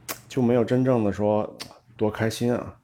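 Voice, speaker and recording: At a moderate pace and with fairly even intonation, the speaker talks with a slight Tianjin accent. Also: man. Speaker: entrepreneur. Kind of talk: casual chat. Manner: many filler sounds.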